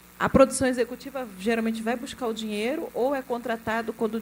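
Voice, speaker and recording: A woman with an unremarkable speaking voice, a fairly high pitch, and a moderate pace. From Rio de Janeiro state, Brazil (Duque de Caxias). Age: 40s. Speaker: film executive producer. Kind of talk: panel discussion.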